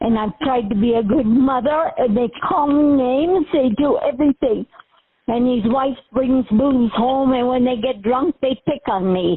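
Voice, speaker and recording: Speaking fairly slowly, a woman keeps a high pitch with ordinary variation and very even loudness. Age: 80s+. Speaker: caller to emergency line. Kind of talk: emergency phone call.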